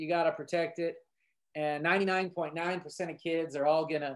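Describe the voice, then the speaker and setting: A man speaks in a fairly high pitch. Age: 30s. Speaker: football coach and English teacher. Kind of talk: podcast interview. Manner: animated.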